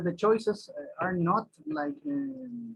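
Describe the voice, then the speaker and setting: A man with a Spanish accent and lively intonation. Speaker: singer and flautist. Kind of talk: interview. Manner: halting, many repetitions.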